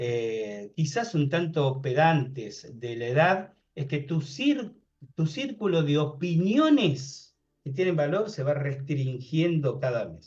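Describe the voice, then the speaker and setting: This man's voice sits fairly high and sounds somewhat breathy. He speaks very slowly with lively intonation. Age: 60s. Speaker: paranormal researcher and author. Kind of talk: interview conversation.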